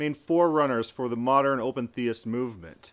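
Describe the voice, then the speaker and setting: A man talks in an ordinary speaking voice at a fairly slow pace, his intonation lively. The recording is very clean, with a silent background. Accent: American. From US Midwest. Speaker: podcast host. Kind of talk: interview.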